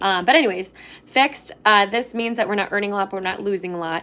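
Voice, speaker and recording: In a very clean recording with a silent background, a woman speaks at a medium pitch. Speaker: financial coach. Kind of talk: live stream tutorial. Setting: live video stream. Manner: fast.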